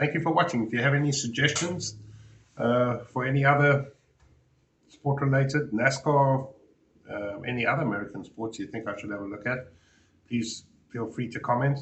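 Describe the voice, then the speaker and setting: With a South African accent, a man talks at a moderate pace and medium pitch, with ordinary pitch variation, long and frequent pauses, and audible room echo. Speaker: reaction youtuber. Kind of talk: reaction commentary. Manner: halting.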